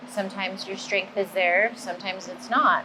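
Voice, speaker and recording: Against noticeable background noise, a woman speaks at medium pitch and a moderate pace. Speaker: bodybuilder vlogger. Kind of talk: casual gym vlog. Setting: busy gym.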